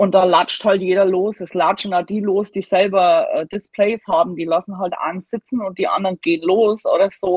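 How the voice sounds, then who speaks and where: A woman talks with hardly any pauses. Her intonation stays monotone and flat. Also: medium pitch for a woman, moderate pace. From Germany. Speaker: Halloween decorator. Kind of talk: casual chat.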